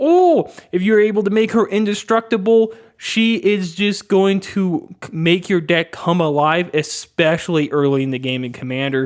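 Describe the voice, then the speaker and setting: On a very clean recording with a silent background, a man with a high pitch speaks at a moderate pace, his intonation lively and his tone animated. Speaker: card game video creator. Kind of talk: casual commentary video.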